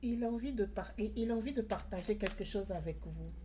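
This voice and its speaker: A woman's somewhat breathy voice, dark and mellow in tone, at a moderate pace with ordinary pitch variation. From outside France. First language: not French (speaking French). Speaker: tarot card reader. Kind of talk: spiritual card reading. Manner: hesitant, many fillers and repetitions.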